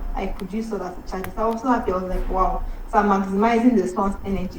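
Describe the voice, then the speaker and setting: A woman at a medium pitch, with noticeable background noise. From Nigeria. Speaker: medical doctor. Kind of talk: motivational speech.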